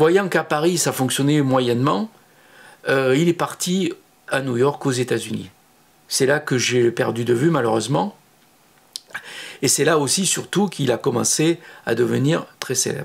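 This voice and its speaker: A man with a southern French accent speaks at a fairly slow pace in a fairly high voice, leaving long, frequent pauses. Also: ordinary pitch variation. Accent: southern French (Midi). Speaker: photographer, former studio assistant. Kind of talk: personal recollection monologue. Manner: hesitant, many filler sounds.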